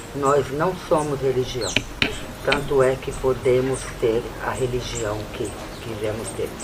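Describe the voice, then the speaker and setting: Amid noticeable background noise and audible room echo, a woman speaks very slowly in a very deep, low voice. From Brazil, Sergipe (Northeast). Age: 60s. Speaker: Romani spiritual leader. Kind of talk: documentary interview.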